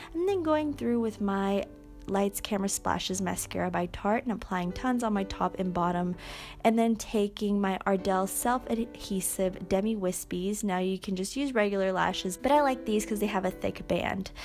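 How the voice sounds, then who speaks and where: A woman speaks softly. Her pitch varies in an ordinary way. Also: medium pitch for a woman, moderate pace. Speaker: beauty vlogger. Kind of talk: makeup tutorial. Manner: soft-spoken.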